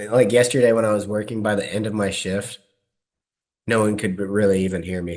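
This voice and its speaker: Quiet and flat in intonation, a man talks at a fairly low pitch and a fairly quick pace. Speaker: podcast co-host. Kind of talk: casual chat.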